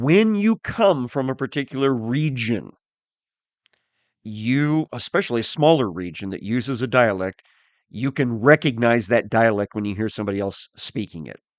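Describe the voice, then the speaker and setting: With an unremarkable speaking voice and an American accent, a man talks at a moderate pace and medium pitch, his intonation lively and his loudness swinging widely, in a dry, close sound with no echo against a quiet background. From US Midwest, southern Missouri. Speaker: Bible teacher. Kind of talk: Bible teaching podcast. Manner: conversational, with frequent fillers.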